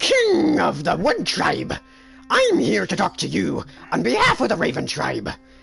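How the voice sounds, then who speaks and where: Faint music plays behind a man doing a raspy, put-on character voice at a moderate pace. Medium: actual play. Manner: excited, sing-song.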